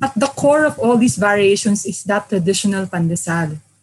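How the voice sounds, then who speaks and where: A woman's medium-pitched, somewhat breathy voice with lively intonation. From Philippines, Manila. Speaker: food writer and cookbook author. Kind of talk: interview.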